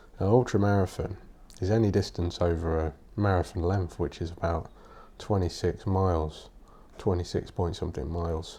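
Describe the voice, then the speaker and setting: Quiet and strained, a man speaks in a very deep, low voice with fairly even intonation. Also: moderate pace. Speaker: podcaster, writer. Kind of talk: casual podcast talk. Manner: quiet, restrained.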